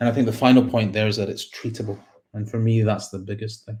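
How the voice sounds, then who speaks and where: A man with a Scottish accent speaks at a fairly quick pace, his medium-pitched voice dark, mellow and somewhat breathy. His intonation stays monotone and flat. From Scotland, Glasgow. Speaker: psychiatrist and researcher. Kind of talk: conference talk. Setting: online conference with slides.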